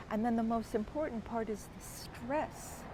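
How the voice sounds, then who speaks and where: Room echo is audible as a woman speaks at a very slow pace and a fairly high pitch, with ordinary pitch variation. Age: 60s. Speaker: wellness course creator. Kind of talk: personal explanation monologue. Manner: casual, somewhat halting.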